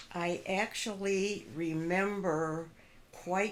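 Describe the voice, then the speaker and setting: A woman is heard speaking with audible room echo. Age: 80s+. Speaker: grandmother interviewed about her life. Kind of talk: family interview, recounting memories.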